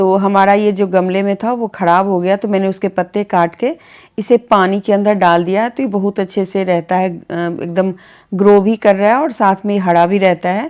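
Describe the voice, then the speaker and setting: The recording is very clean with a silent background as a woman talks at a moderate pace in a medium pitch. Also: fairly even intonation. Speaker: home vlogger. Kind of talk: home vlog narration. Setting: bedroom at home. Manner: soft-spoken.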